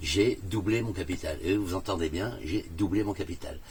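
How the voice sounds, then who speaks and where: Speech comes at a fairly slow pace from a man. His voice sits very deep and low. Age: 60s. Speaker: customer testimonial, theatre owner. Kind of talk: testimony. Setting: in a camper van. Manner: hesitant, many fillers.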